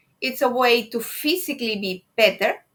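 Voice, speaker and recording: Speaking with a Spanish accent, a woman has a high pitch. Her pace is fairly slow. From Spain. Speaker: Silva Method graduate. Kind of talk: interview.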